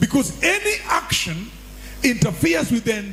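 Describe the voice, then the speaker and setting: With noticeable background noise behind him, a man with an extremely high voice talks at a moderate pace. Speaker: pastor. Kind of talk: sermon.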